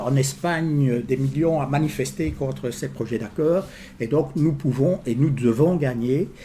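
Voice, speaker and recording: Somewhat breathy and medium in pitch, a man with a slight Liège accent speaks at a moderate pace with ordinary pitch variation. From Belgium, Liège region. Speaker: trade union official. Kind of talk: public talk. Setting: information day with audience. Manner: hesitant, many fillers.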